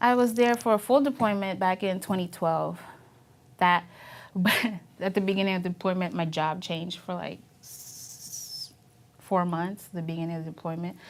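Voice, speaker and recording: Ordinary pitch variation at a moderate pace, broken by long, frequent pauses. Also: woman, medium pitch for a woman. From Philippines. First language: Filipino language. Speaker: Navy veteran. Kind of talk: oral history interview. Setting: university media studio. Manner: halting, many fillers.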